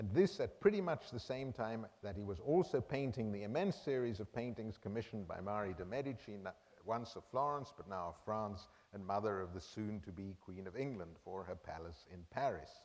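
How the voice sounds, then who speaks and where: In an unremarkable speaking voice, a man with a fairly low pitch talks at a fairly quick pace with lively intonation. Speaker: art history professor. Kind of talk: lecture.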